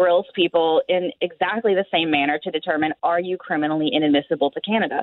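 A woman speaks in a normal speaking voice at a fairly quick pace. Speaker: border law expert. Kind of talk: radio interview.

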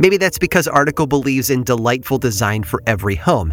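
Music plays in the background as a man talks. He has an American accent and a fairly quick pace. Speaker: podcast narrator. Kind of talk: true-crime horror narration. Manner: measured, grave, hushed, suspenseful.

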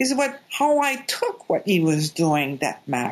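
A woman with a Quebec French accent speaks at a moderate pace. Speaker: doctor and life coach. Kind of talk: interview.

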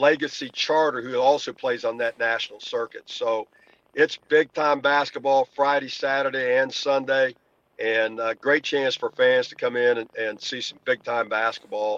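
Here is a man with a normal speaking voice and a medium pitch. He goes at a fairly slow pace, and the sound is dry and close with no echo. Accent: American. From Indiana. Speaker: basketball coach and event organizer. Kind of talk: interview.

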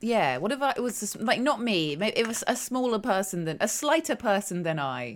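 A woman with a British accent speaks at a fairly quick pace, with hardly any pauses and vocal fry. Her fairly high pitch moves in very wide swings. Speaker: podcast host. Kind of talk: casual chat, comedic banter.

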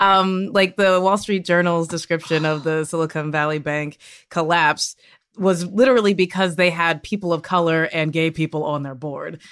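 With an American accent, a woman in an unremarkable speaking voice talks at a moderate pace, fairly low in pitch and fairly even in intonation, on a very clean recording with a silent background. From US South. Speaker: comedian and author. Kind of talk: panel discussion.

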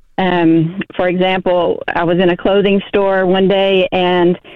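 A woman at medium pitch, with an American accent. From Texas. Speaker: high school teacher. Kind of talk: radio call-in interview. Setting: phone call. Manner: calm.

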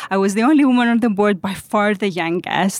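Speaking fairly quickly with a Greek accent, a woman uses a medium pitch and ordinary pitch variation. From Greece. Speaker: founder and CEO. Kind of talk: interview. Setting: recorded in person at a conference.

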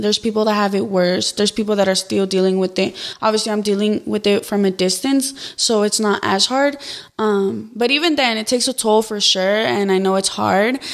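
Over noticeable background noise, a woman talks at a moderate pace in a fairly high voice. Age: young. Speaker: YouTuber and TikTok creator. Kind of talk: casual interview chat.

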